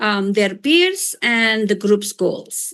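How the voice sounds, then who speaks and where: A woman speaks at a very slow pace in an Indonesian accent. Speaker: professor. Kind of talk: lecture. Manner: hesitant with fillers.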